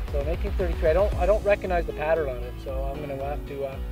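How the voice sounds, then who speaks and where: Clear music plays in the background while the speech moves at a fairly quick pace. The sound is dry, with no echo. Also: man. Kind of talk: casual vlog chat. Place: open country.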